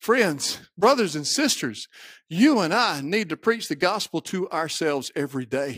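A high male voice with a Mississippi accent and very wide pitch swings at a moderate pace, dry and close with no echo, in a very clean recording over a silent background. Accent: Southern US (Mississippi). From US South, Mississippi. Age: 50s. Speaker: pastor. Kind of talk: sermon. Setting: church.

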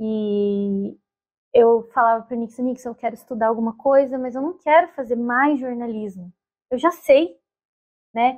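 A high-pitched woman's voice at a fairly slow pace, with ordinary pitch variation, big swings in loudness and long, frequent pauses. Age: 20s. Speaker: journalist. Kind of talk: casual chat.

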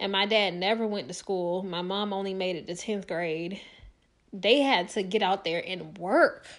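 At a moderate pace, a woman with medium pitch speaks in an animated tone, using ordinary pitch variation. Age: 30s. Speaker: podcast host. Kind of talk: personal monologue.

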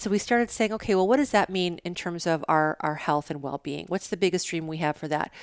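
A normal speaking voice at a fairly quick pace, with ordinary pitch variation and a dry, close sound with no echo. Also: woman, fairly low pitch for a woman. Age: 50s. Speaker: brand strategist and podcaster. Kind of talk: casual interview. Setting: at her home.

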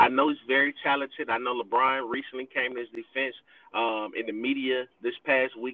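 Monotone and flat, a man with an American accent and a medium pitch talks at a fairly quick pace. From Miami, Florida. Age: 30s. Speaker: sports fan guest. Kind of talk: casual chat. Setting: remote call, pulled over in his vehicle.

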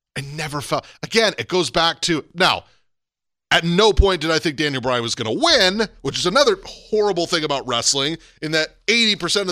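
A man with a high pitch and a bright, sharp tone, animated, with lively intonation at a fairly quick pace, on a very clean recording with a silent background. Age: 30s. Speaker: wrestling podcast host. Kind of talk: casual chat.

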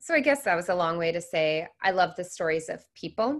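A woman with an American accent and a fairly low pitch at a moderate pace against a quiet background. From US Pacific Northwest, Seattle. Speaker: business consultant. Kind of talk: interview.

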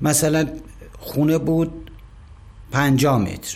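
A man's fairly high-pitched voice carries audible room echo. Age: 50s. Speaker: company kitchen manager. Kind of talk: interview testimony.

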